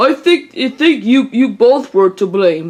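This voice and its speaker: A put-on character voice at a fairly high pitch and fairly slow pace. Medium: read story.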